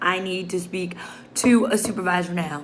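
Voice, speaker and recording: With an American accent and an animated tone, a woman speaks amid audible room echo and noticeable background noise. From Chicago, South Side. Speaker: social work student. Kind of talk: video journal, casual monologue. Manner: loud, animated.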